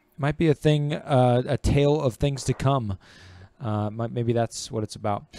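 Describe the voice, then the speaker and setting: Recorded very cleanly against a silent background, a man talks fairly slowly in a normal speaking voice with ordinary pitch variation, the sound dry and close with no echo. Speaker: gaming talk show host. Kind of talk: casual chat. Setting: live stream.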